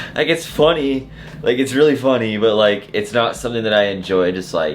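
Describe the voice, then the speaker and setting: Lively intonation from a man at medium pitch, with audible room echo and noticeable background noise. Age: 20s. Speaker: car enthusiast YouTuber. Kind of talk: unscripted talking-head rant. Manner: casual, filler-heavy with repeated 'like'.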